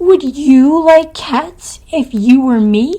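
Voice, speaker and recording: A woman puts on a character voice that is high-pitched and shrill. She speaks at a very slow pace. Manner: passionate, indignant.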